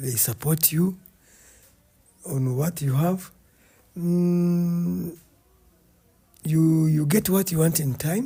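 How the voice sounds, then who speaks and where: A man talks very slowly with long, frequent pauses in a dark, mellow tone. His pitch is fairly high, with ordinary variation. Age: 60s. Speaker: retired army officer and farmer. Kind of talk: casual chat. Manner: halting.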